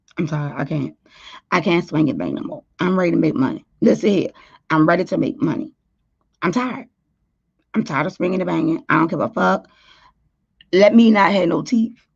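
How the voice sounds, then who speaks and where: Animated and fairly quick, the voice swings very widely in pitch, carries vocal fry, and breaks into long, frequent pauses. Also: woman, fairly low pitch for a woman. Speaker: YouTube talk show host. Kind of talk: casual livestream chat.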